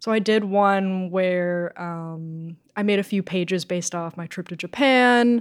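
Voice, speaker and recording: A woman's medium-pitched voice in an American accent. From Massachusetts (Rockport). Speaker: comic book artist. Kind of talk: casual interview. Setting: studio.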